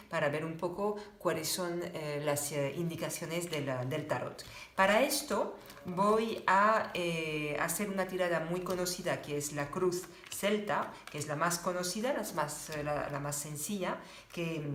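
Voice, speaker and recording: A woman with a French accent speaks at a fairly slow pace, fairly low in pitch with ordinary pitch variation. The audio carries audible room echo and noticeable background noise. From France. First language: French (speaking Spanish). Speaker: tarot reader. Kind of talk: tarot reading tutorial. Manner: halting, many fillers.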